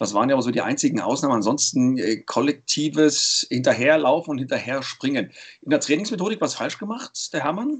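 Here is a man with an ordinary speaking voice. He talks at a fairly quick pace with lively intonation. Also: fairly high pitch for a man. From Saxony, eastern Germany (Leipzig). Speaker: sports commentator and podcast host. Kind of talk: casual chat.

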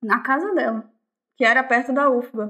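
Over a quiet background, a woman with a high pitch speaks at a fairly slow pace. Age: 20s. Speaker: artist and musician. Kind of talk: casual chat. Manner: halting.

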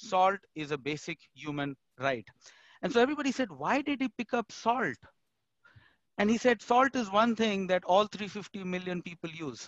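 Speaking with an Indian accent, a man at a high pitch makes very wide pitch swings at a moderate pace. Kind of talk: panel discussion.

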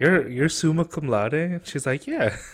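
A somewhat breathy man on a very clean recording with a silent background. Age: 20s. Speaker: podcast co-host. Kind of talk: casual chat.

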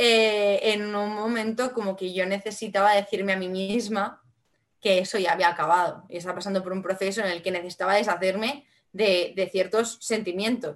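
In a Valencian accent, the speaker goes at a moderate pace with fairly even intonation. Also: woman. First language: Valencian Catalan (speaking Spanish). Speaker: singer-songwriter. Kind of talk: casual interview.

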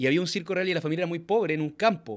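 On a very clean recording with a silent background, a man speaks very fast with ordinary pitch variation. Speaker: podcast host. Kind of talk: casual interview. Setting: in-person interview.

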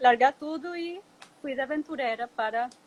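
A woman speaks in a Spanish accent at a high pitch. The sound is dry and close, with no echo. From Venezuela. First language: Spanish (speaking Portuguese). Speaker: ecotourism company founder. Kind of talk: interview. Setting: Instagram live video call.

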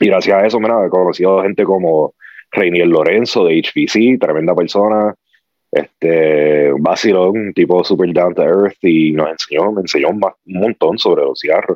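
At a moderate pace, a man with a very deep, low pitch speaks in fairly even intonation. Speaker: cigar enthusiast. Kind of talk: casual chat. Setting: video call.

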